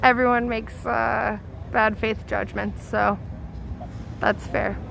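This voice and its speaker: A woman's very slow speech with audible room echo. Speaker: protest livestreamer. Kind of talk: live street commentary. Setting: outdoors at night protest. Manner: loud.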